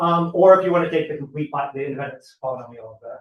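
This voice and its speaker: This man's delivery is very fast. There is a somewhat breathy quality to his voice. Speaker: mathematician, seminar speaker. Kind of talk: lecture. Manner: halting.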